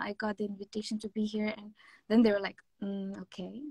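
At a fairly quick pace, the somewhat breathy voice comes through dry with no echo against a quiet background. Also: woman. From India, Mumbai (born Kerala); Mumbai. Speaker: K-pop singer; interviewee. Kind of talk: interview. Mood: cheerful, friendly. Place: home room. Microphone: video call.

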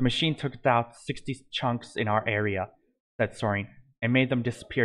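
An unforced reading voice over a quiet background.

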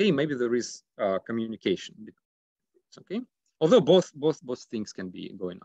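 Over a quiet background with a dry sound and no echo, a man speaks at a moderate pace with very wide pitch swings, big swings in loudness and long, frequent pauses. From Russia. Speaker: economics PhD candidate. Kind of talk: academic presentation. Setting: video call. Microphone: video call.

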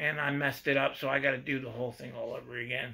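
With an American accent, the speaker uses a bright, sharp tone and fairly even intonation at a fairly quick pace against a quiet background. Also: man. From Pennsylvania, USA. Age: 60s. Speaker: hobby model car builder. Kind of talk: casual talk to camera. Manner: casual, halting. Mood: relaxed, self-deprecating. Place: workshop. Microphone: phone near.

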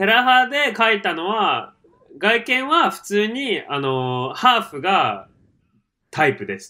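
A man with a high pitch uses a raised, projected voice with a bright, sharp tone and very wide pitch swings. He talks at a very slow pace, with big swings in loudness. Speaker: podcast co-host. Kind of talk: casual chat.

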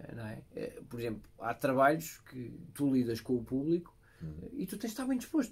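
A man's fairly high, somewhat breathy voice with long, frequent pauses. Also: lively intonation, moderate pace, big swings in loudness. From Portugal. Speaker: podcast host. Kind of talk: interview. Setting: studio. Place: studio.

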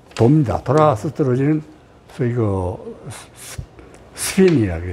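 A man at a moderate pace with very wide pitch swings and long, frequent pauses, over light background noise. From Korea. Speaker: retired air force general, war veteran pilot. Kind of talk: interview answer. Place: home room. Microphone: lapel.

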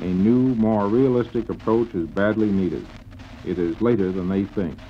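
With an American accent and a normal speaking voice, a man talks at a moderate pace in a fairly low pitch with ordinary pitch variation, over light background noise. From Chicago. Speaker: business executive. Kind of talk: radio interview answer. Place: studio. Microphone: old recording.

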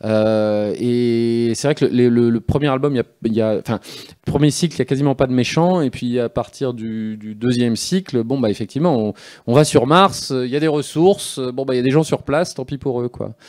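At a moderate pace and a medium pitch, a man speaks with ordinary pitch variation in front of a quiet background. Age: 40s. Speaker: comic book author. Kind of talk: live interview on stage. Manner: halting, many hesitations and repetitions. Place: stage. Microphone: handheld.

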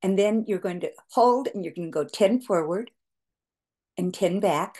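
A woman speaks in a dark, mellow tone with ordinary pitch variation. The background is quiet. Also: moderate pace. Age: 70s. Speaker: skincare entrepreneur; facial exercise instructor. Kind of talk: tutorial. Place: home room. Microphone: webcam.

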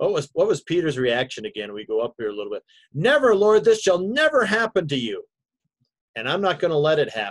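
Over a quiet background, a high-pitched man talks at a fairly quick pace with very wide pitch swings. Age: 60s. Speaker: pastor. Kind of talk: bible study class. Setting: video call. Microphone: video call.

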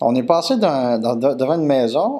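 A man with a Quebec accent speaks with very wide pitch swings over a quiet background. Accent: Québécois French. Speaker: comedian. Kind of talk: comic anecdote, casual storytelling. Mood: playful, comic storytelling. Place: home room.

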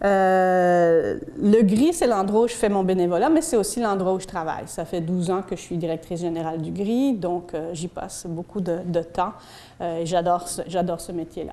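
A woman at a fairly slow pace, with ordinary pitch variation. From Belgium. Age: 40s. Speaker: community educator. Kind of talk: public talk. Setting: stage with audience. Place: hall.

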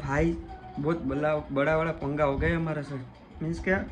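Clear music plays in the background beneath fairly even intonation. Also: man. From Rajkot, Gujarat, India. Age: young. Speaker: footballer and vlogger. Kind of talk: casual vlog talk to camera. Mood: hushed, playful in kitchen.

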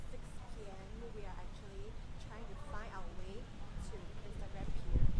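A woman at a fairly slow pace over loud background noise. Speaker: travel vlogger. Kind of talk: casual travel vlog narration. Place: station. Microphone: phone near.

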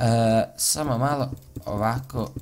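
Over light background noise, a man talks at a fairly low pitch with ordinary pitch variation. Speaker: gaming video creator. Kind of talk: casual gameplay commentary. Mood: annoyed about online hate. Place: home room.

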